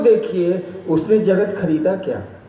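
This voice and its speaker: A man's high-pitched voice amid audible room echo and noticeable background noise. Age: 60s. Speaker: spiritual teacher. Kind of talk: spiritual discourse, Q&A.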